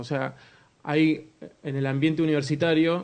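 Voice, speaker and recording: In an Argentine accent, a man talks at a fairly slow pace with monotone, flat intonation. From Argentina. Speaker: communication speaker at a church conference. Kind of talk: conference talk.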